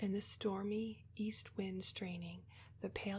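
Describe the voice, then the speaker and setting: A soft-spoken woman at a fairly slow pace. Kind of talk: poetry reading, quiet relaxation ASMR reading. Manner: quiet, soft-spoken.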